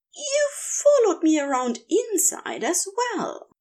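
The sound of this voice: Using a put-on character voice, a woman speaks slowly at an extremely high pitch with very wide pitch swings and a slightly mellow tone.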